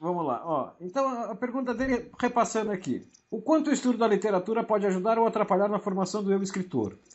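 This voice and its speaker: A man speaks very fast at a high pitch with hardly any pauses. His pitch varies in an ordinary way. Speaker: podcast co-host on writing. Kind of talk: casual chat. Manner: loud; animated.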